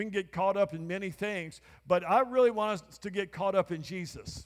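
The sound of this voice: A man with a high pitch talks at a moderate pace, his pitch varying in an ordinary way.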